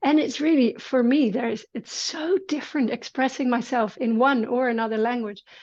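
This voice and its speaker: Over a quiet background, the speaker moves at a moderate pace with hardly any pauses and ordinary pitch variation. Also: woman, high pitch for a woman. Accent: Dutch. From Netherlands. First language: Dutch. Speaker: movement teacher. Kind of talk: casual conversation.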